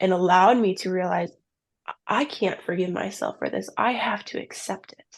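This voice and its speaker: The speaker has an American accent and vocal fry. The pace is moderate and the intonation fairly even. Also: woman. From US Midwest, southern Minnesota. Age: 20s. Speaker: ministry founder sharing abortion testimony. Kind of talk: testimony.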